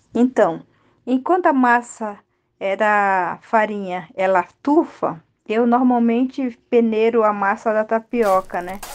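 Speech comes at a very slow pace. Pitch variation is ordinary, and the background is quiet. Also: woman, fairly high pitch for a woman. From Rio Negro region, Amazonas, Brazil. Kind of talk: recipe explanation.

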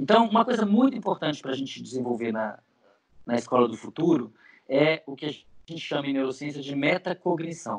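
Fairly quick male speech, pitch swinging very widely. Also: fairly high pitch for a man, big swings in loudness. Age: 40s. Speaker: neuroscientist and professor. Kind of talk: interview.

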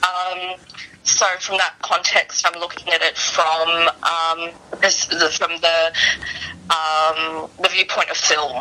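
There is noticeable background noise as a woman talks. Her medium-pitched voice moves at a very slow pace. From Chinese diaspora. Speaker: arts event speaker. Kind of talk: radio interview.

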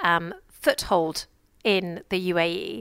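In a very clean recording with a silent background, a woman with an English accent speaks in a bright, sharp tone. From England. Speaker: radio show host. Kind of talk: radio interview. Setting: live broadcast from a busy trade fair.

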